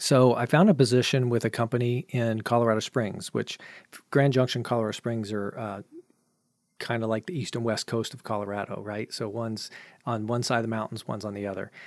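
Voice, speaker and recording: A man with an ordinary speaking voice, medium pitch and fairly even intonation at a fairly quick pace, in a dry, close sound with no echo on a very clean recording with a silent background. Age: 40s. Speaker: filmmaker and educator. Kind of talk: casual interview.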